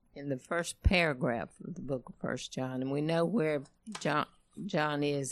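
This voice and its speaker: A woman's very deep, low voice with vocal fry and ordinary pitch variation, at a fairly slow pace. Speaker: congregation member reading scripture. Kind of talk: reading aloud.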